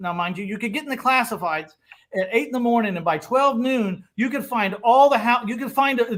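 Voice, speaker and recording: A man with an extremely high pitch speaks in an animated tone with lively intonation. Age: 60s. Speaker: real estate investor. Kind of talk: casual chat.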